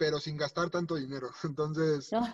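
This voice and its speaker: A man's voice at a fairly slow pace. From Mexico. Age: 30s. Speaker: racing driver. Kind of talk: interview.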